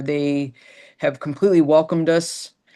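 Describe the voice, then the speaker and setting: A woman's very deep, low voice, monotone and flat, at a moderate pace against a quiet background. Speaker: orthopedic surgeon. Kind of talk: panel discussion. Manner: halting.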